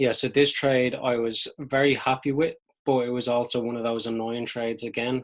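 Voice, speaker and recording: Here a man speaks in a Dublin accent at a medium pitch. His intonation is monotone and flat. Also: moderate pace. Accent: Irish (Dublin). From Dublin, Ireland. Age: 20s. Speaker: amateur forex trader. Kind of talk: casual talk to camera, trading recap.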